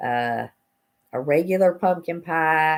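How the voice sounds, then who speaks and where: In an Appalachian accent, a woman talks with a very deep, low pitch on a very clean recording with a silent background. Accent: Southern US (Appalachian). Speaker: cooking channel host. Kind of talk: casual livestream talk.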